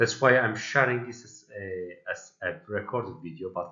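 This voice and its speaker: A man speaks with a Turkish accent. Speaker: pediatric nursing academic. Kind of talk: prerecorded presentation. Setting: recorded video played at virtual event.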